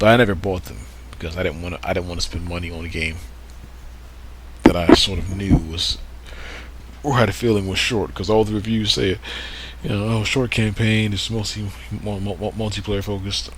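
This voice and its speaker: A man talks at a fairly quick pace in a fairly low pitch, with ordinary pitch variation and long, frequent pauses. His loudness swings widely, and there is noticeable background noise and audible room echo. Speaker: gaming video creator. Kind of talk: casual let's play commentary. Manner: halting, repetitive.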